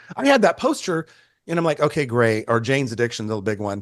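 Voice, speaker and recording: A man's fairly quick delivery with ordinary pitch variation over a quiet background. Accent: American. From Northern California, Bay Area. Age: 60s. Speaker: photographer. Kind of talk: casual chat.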